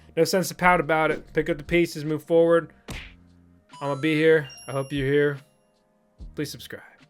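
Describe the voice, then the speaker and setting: Music plays behind a man with a fairly high pitch. He speaks in a flat monotone with long, frequent pauses. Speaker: crypto YouTuber. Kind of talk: casual video commentary. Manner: fast.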